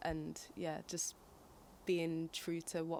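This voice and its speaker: A woman speaks with a northern English accent. Her pitch is fairly low. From northern England, Manchester. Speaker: singer and poet. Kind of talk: interview.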